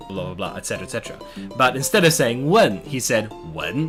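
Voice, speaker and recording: Very wide pitch swings in an Australian accent, with music in the background. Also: man. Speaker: YouTuber learning Chinese. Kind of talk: casual talk to camera.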